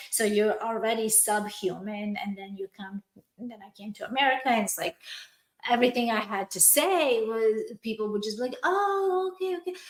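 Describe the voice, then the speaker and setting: Speaking with a non-native accent, a woman uses a fairly high pitch, lively intonation and big swings in loudness. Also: moderate pace. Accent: foreign accent, still noticeable. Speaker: podcast host, entrepreneur. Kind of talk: personal story in casual podcast chat.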